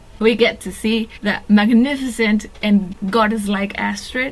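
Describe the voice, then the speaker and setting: A woman's very slow, fairly high voice in a Spanish accent, with fairly even intonation over noticeable background noise. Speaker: fan video commentator. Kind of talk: casual monologue.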